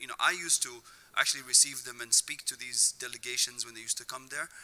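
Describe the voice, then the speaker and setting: The man's pitch sits at a medium level, and his intonation stays fairly even. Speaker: nonprofit leader, panelist. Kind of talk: panel discussion. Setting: synagogue event with audience. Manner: hesitant, many fillers.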